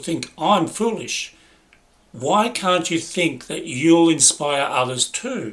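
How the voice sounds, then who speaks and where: A high-pitched man with an Australian accent, very slow and with lively intonation and big swings in loudness. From Italy, raised in Australia. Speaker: personal development speaker. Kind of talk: personal storytelling narration.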